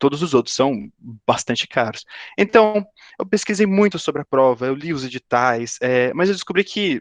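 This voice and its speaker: Dry and close with no echo, a man's fairly high voice moves at a moderate pace through very wide pitch swings. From Brazil, São Paulo state (São José dos Campos). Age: 20s. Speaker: aerospace engineering student, career talk speaker. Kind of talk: career talk to students via video call. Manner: halting, many fillers and repetitions.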